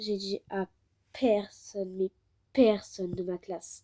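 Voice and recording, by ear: A woman's voice with a dark, mellow tone, recorded dry and close with no echo.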